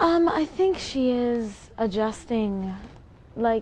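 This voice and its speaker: A woman speaks softly. Her tone is dark and mellow. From Maple Ridge, British Columbia, Canada. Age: young. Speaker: actress and singer. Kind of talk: interview answer. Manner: soft-spoken.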